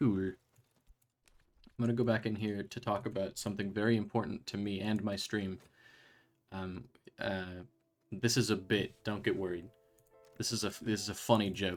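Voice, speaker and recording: Music plays behind a man who speaks in a monotone with flat intonation. He leaves long, frequent pauses. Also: fairly low pitch for a man, moderate pace. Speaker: game streamer. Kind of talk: casual live stream commentary.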